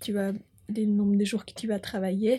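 A woman talks at a fairly high pitch and moderate pace, somewhat breathy, with a dark, mellow tone. Her intonation stays monotone and flat on a very clean recording with a silent background. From Switzerland, Bern (Bümpliz). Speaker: farmer. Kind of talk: interview.

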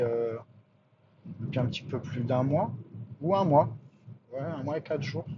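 A man speaks in a somewhat breathy voice. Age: 40s. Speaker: podcaster. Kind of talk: casual monologue. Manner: halting.

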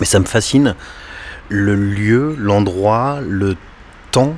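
A man speaks with a fairly low pitch and ordinary pitch variation. Noticeable background noise sits behind him. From western France, Les Sables-d'Olonne (Vendée). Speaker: cinema owner. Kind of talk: interview. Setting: cinema lobby, doors open. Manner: halting, unfinished sentences.

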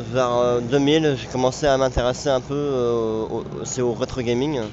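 Behind noticeable background noise, a man's voice comes through at a medium pitch. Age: 20s. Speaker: graphic designer and retro gaming organizer. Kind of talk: interview.

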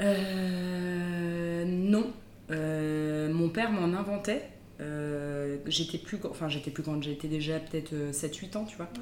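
Speaking very slowly with ordinary pitch variation, a woman with a fairly low pitch is heard amid audible room echo and noticeable background noise. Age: 30s. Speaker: physiotherapist. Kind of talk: casual chat.

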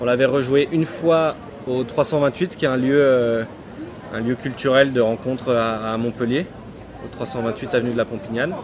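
A man speaks at a fairly slow pace with fairly even intonation and long, frequent pauses. Noticeable background noise runs underneath. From Jura, France. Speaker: stage actor. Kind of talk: interview.

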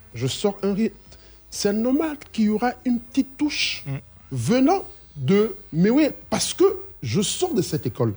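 Fairly slow speech with long, frequent pauses and very wide pitch swings. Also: man, high pitch for a man. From Ivory Coast. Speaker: singer. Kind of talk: radio interview.

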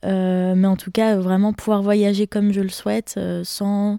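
A woman speaks at a fairly slow pace in a medium pitch and a dark, mellow tone, with monotone, flat intonation, on a very clean recording with a silent background and a dry, close sound with no echo. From Besançon, Franche-Comté, France. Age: 20s. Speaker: tourism master's student. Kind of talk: casual chat.

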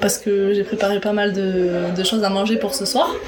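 Audible room echo and noticeable background noise surround a woman speaking fairly slowly at a fairly high pitch. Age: 20s. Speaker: quality and safety assistant. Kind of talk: casual interview.

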